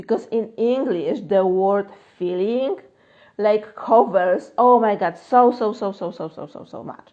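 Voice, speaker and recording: With a Polish accent, a woman speaks at a fairly high pitch and fairly slow pace, showing ordinary pitch variation and big swings in loudness. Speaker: manifestation coach. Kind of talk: live Q&A stream. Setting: Instagram live stream. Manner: casual, filler-heavy.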